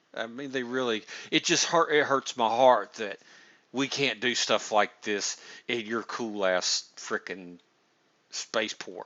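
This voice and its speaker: A man with a Southern US accent at a fairly slow pace, with ordinary pitch variation. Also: medium pitch for a man. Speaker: gaming streamer interviewing builders. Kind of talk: casual chat. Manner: halting, many restarts.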